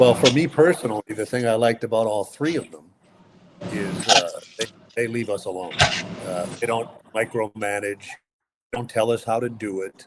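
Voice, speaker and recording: This man has an unremarkable speaking voice, medium in pitch with ordinary pitch variation. He talks at a moderate pace, with big swings in loudness. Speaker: radio play-by-play sports announcer. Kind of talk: interview answer, conversational. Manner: relaxed, chatty, humorous.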